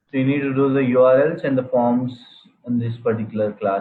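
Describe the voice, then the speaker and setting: A man's plain, everyday voice at medium pitch and a fairly quick pace. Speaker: programming instructor. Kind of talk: live online class.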